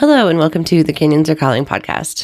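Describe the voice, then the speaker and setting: This woman's pitch is very deep and low. It moves in very wide swings. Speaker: podcast host. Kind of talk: podcast intro monologue.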